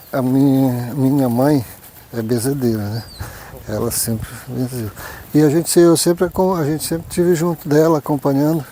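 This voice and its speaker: Against noticeable background noise, a man speaks at a moderate pace and a fairly high pitch. His pitch varies in an ordinary way, and he pauses often and at length. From Oriximiná, Pará, northern Brazil. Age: 40s. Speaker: traditional folk healer. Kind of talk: documentary interview testimony.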